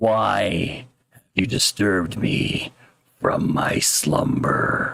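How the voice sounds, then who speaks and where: Booming at medium pitch, a man speaks at a very slow pace in a put-on character voice. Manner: menacing, aggrieved.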